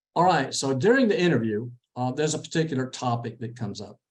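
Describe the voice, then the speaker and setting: A man with a Texan accent speaks at a medium pitch. His pace is moderate, and audible room echo surrounds him. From Texas. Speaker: interview coach. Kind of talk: lecture.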